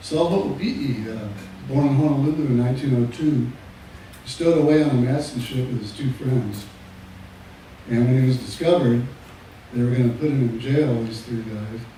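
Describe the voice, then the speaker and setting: A man speaks at a moderate pace in a medium pitch with ordinary pitch variation. He takes long, frequent pauses, and audible room echo is present. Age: 70s. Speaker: slack key guitarist. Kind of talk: live performance banter.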